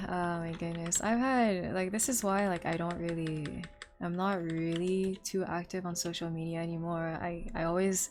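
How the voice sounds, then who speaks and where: Amid audible room echo, a woman with a fairly low pitch talks at a moderate pace with fairly even intonation and hardly any pauses. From Quebec, Montreal. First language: French. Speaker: streamer and cosplayer. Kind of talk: casual chat.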